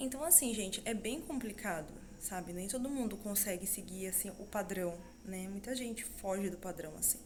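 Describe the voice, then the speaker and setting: A soft-spoken woman at a moderate pace with ordinary pitch variation and audible room echo. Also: medium pitch for a woman. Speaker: vlogger, mother and student. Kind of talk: casual vlog monologue. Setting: at home.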